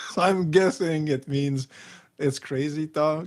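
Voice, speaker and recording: Fairly slow speech from a man, with ordinary pitch variation. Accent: Quebec. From Quebec, small town. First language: French. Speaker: YouTube film critic. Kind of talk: live stream reading comments. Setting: live stream. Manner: halting, many fillers.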